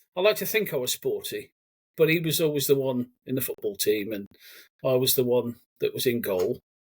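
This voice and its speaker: The recording is very clean with a silent background. The speaker talks at a fairly quick pace with a Brummie accent. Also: man. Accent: Brummie twang. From Cannock, Staffordshire, England. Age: 40s. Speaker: army veteran. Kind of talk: casual interview chat.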